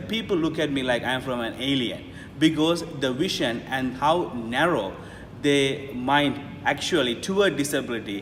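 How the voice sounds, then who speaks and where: A man talks at a moderate pace in a fairly high pitch with ordinary pitch variation. Noticeable background noise runs under his voice. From Sri Lanka (Jaffna). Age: 30s. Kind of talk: interview answer.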